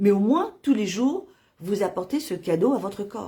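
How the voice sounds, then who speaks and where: A woman's medium-pitched, somewhat breathy voice with a dark, mellow tone and lively intonation, on a very clean recording with a silent background. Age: 60s. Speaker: nutrition product distributor. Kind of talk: sales pitch. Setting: Facebook live video. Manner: halting, many fillers.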